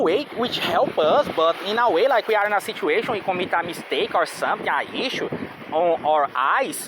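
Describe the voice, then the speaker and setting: Over noticeable background noise, a man with high pitch talks at a moderate pace with lively intonation. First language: not English. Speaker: vlogger. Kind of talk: casual monologue. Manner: halting, many fillers and repetitions.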